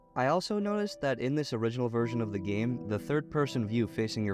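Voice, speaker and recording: With music in the background, the man keeps up a fairly quick pace. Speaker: gaming video reviewer. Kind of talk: retrospective game review narration. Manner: sarcastic, profane humor.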